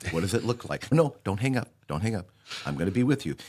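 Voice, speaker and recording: A man at a fairly quick pace, fairly low in pitch, with vocal fry and very wide pitch swings. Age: 60s. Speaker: podcast host, security software provider. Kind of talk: podcast interview.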